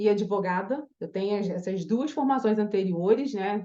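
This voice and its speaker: Fairly slow delivery in a dark, mellow tone, with ordinary pitch variation. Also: woman. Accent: strong Carioca. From Brazil, Rio de Janeiro. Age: 40s. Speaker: image and style consultant. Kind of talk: online masterclass. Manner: casual, hesitant with fillers.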